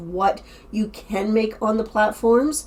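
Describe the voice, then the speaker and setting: A woman with a plain, everyday voice speaks at a fairly high pitch, with fairly even intonation. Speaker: online reseller and YouTuber. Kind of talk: casual vlog summary.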